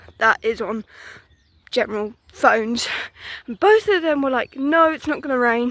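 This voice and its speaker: A woman with an English accent speaks at a high pitch. Her intonation is lively and her pace moderate. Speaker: vlogger. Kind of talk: casual walking vlog monologue. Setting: outdoors.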